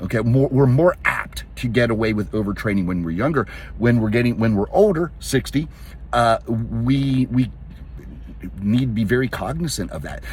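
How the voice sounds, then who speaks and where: Speaking at a fairly quick pace with an American accent, a man holds a medium pitch while noticeable background noise runs underneath. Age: 60s. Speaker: fitness coach. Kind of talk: casual talk to camera. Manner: halting.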